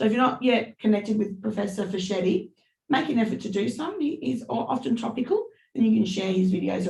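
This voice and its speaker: At a fairly quick pace, a woman speaks with a dark, mellow tone. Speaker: university tutor. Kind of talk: online lecture Q&A. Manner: loud.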